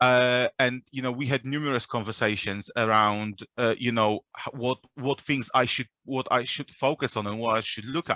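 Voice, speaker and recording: A man with a non-native accent speaks in a bright, sharp tone with fairly even intonation. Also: medium pitch for a man, moderate pace, dry, close sound with no echo. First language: not English. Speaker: recruiter. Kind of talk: panel discussion. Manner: halting.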